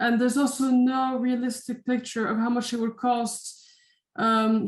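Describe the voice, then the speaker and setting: Speaking in a Dutch accent, a woman has a fairly high voice. Her delivery is monotone, with flat intonation. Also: very clean recording, silent background. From Netherlands. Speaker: university lecturer. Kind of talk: lecture. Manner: hesitant, many fillers.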